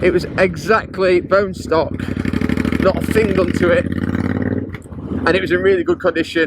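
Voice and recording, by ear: A man with a high voice speaks at a fairly slow pace, his intonation fairly even.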